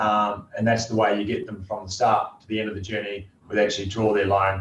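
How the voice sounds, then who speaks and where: A man with a New Zealand accent at a fairly quick pace, over noticeable background noise. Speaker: company CEO and founder. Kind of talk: interview.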